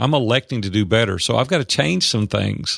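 A man with a Tennessee accent, lively intonation, and a quiet background. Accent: Tennessee Southern. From US South. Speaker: business coach and entrepreneur. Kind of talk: interview, storytelling.

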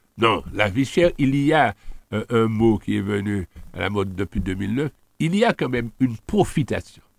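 This man has an ordinary speaking voice at a medium pitch, talking at a moderate pace with lively intonation in a dry, close sound with no echo. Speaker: local politician. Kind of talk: radio interview.

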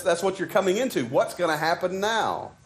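Talking at a fairly quick pace, a man with a Southern US accent uses a high pitch. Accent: Southern US, noticeable. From Arkansas. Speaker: preacher. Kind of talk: sermon. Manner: halting, conversational, with frequent fillers.

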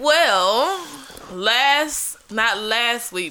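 Lively intonation marks a woman's fairly high voice, heard over noticeable background noise. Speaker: podcast co-host. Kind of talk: casual chat.

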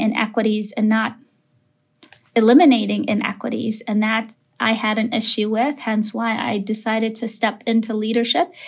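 A somewhat breathy woman at a moderate pace, fairly high in pitch. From Minneapolis, Minnesota (Somali family). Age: 30s. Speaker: elementary school principal. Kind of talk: interview conversation.

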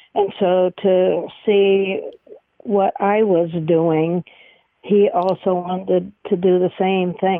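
Medium-pitched female voice, its intonation fairly even. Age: 70s. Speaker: short-term missions volunteer. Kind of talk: testimony. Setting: studio.

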